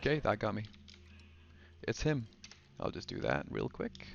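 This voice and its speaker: Soft-spoken, a man talks at a fairly slow pace. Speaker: let's play gamer. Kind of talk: casual gameplay commentary.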